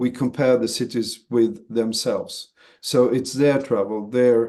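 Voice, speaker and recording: In a Swedish accent, the voice moves at a fairly slow pace with a dark, mellow tone and monotone, flat intonation over a quiet background. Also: man, medium pitch for a man. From Sweden. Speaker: association chief executive. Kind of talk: webinar interview. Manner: halting, many fillers and repeats.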